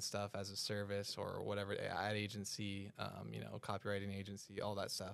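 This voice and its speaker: With a silent background, a man speaks on a very clean recording. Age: 20s. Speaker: e-commerce entrepreneur. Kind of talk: casual chat.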